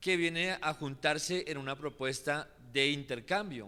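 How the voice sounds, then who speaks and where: A man in a Colombian accent speaks with a bright, sharp tone and a fairly high pitch. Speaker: social movement activist. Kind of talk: public talk at assembly. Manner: hesitant, with fillers.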